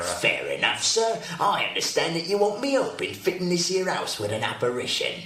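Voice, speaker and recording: A man does a put-on character voice at a moderate pace, with a slight echo. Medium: old radio play. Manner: overfamiliar, chatty, self-promoting.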